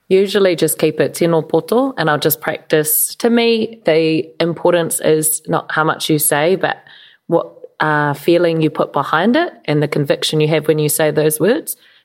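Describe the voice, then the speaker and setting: A woman with a New Zealand accent speaks at a moderate pace in a very deep, low pitch, with ordinary pitch variation and very even loudness. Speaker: podcast co-host. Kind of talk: casual chat.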